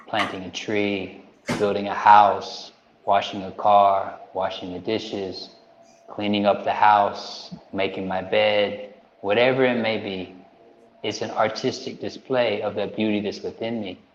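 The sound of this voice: Audible room echo follows a man speaking at a fairly slow pace, his fairly low pitch showing little movement.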